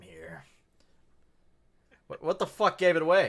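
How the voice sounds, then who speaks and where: A man's voice with vocal fry. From US Midwest, Colorado. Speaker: podcast co-host. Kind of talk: casual chat.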